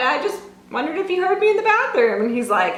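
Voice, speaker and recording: A woman projects her voice at an extremely high pitch. Room echo and background noise are both noticeable. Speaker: lifestyle vlogger. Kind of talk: casual vlog talk to camera. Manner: fast; animated.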